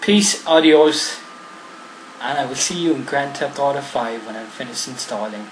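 With an Irish accent, a man talks in lively intonation and big swings in loudness over noticeable background noise. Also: fairly high pitch for a man, moderate pace. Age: 40s. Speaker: gaming YouTuber. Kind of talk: gameplay commentary. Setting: home recording. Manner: casual.

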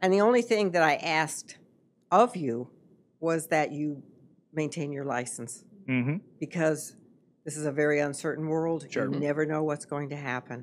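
With light background noise, a woman speaks at a moderate pace in a very deep, low voice, showing ordinary pitch variation and long, frequent pauses. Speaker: podcast guest, host's mother. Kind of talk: interview answer. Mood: reflective, earnest. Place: studio. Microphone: studio mic.

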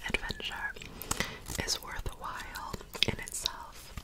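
The speaker whispers at a very slow pace. It is soft-spoken throughout. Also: woman. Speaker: content creator. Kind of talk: soft casual ASMR-style chat. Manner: soft close-mic ASMR whisper. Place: home room. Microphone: phone near.

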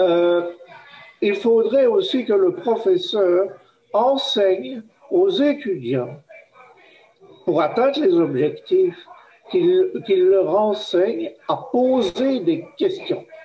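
A man's high-pitched voice with very wide pitch swings, a very slow pace, very even loudness and long, frequent pauses. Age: old. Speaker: professor, workshop participant; professor. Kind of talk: group discussion. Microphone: video call.

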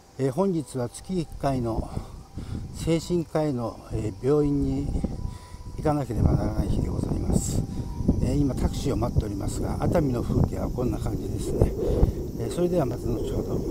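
A man talks at a moderate pace. The sound is dry with no echo, and there is loud background noise. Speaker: rokyoku narrative singer and painter. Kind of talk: casual vlog talk to camera. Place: street. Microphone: phone near.

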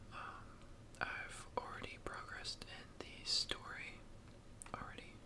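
Fairly slow whispering. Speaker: gamer. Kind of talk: casual gaming commentary, ASMR-style talk to camera.

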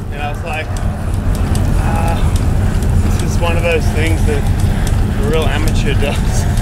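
Speech comes at a fairly slow pace. Loud background noise runs underneath. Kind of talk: interview answer. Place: bicycle.

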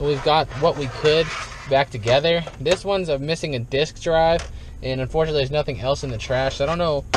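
Over noticeable background noise, a man speaks at a fairly quick pace with fairly even intonation, the sound dry with no echo. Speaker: dumpster diving vlogger. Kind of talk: casual vlog chat. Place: car. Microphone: phone near.

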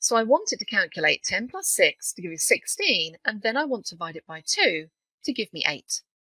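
At a moderate pace, a woman speaks in a British accent. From UK. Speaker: software trainer. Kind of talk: tutorial.

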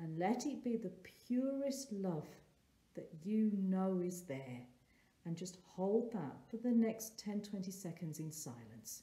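A soft-spoken woman with a gentle, warm tone at medium pitch, very wide pitch swings and a very slow pace, amid audible room echo. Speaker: therapist and meditation guide. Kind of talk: guided meditation. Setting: solo recording for online video. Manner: slow, soft, calming and gentle with long pauses; warm, nurturing, inviting. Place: home room. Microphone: phone near.

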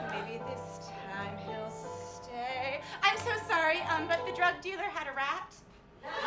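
A woman at a very slow pace over loud background music. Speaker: actor playing a nervous auditioner. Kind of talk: comic stage monologue. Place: stage.

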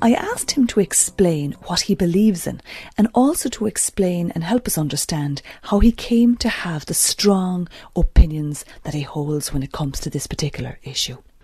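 With lively intonation and a normal speaking voice, a woman talks at a moderate pace. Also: fairly low pitch for a woman. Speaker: radio presenter. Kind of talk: interview.

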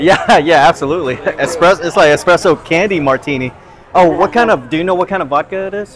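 A man talks at a very fast pace in a high voice. Noticeable background noise sits behind him. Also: ordinary pitch variation. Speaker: food vlogger. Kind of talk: casual vlog chat. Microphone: lapel.

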